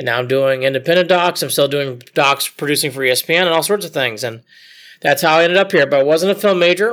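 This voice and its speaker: In a bright, sharp tone, a man with a Midwestern American accent talks very fast with ordinary pitch variation. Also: very clean recording, silent background. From Ohio, Cleveland area. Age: 40s. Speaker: sports documentary producer. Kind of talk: interview.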